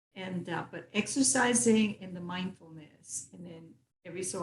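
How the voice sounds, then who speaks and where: A woman speaks with a Spanish accent at a moderate pace. Her voice is fairly low and somewhat breathy, with ordinary pitch variation. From Puerto Rico. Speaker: retired philanthropist. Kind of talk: interview conversation.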